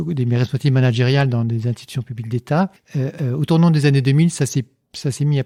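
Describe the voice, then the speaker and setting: A man's dark, mellow voice comes through in a dry, close sound with no echo. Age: 60s. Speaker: engineer and philosopher, lecturer. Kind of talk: podcast interview. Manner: hesitant, many fillers and repetitions.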